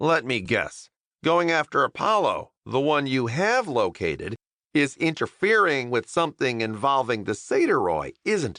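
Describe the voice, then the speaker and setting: A man's put-on character voice, fairly high in pitch, at a moderate pace against a quiet background. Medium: read story. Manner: flippant, sarcastic.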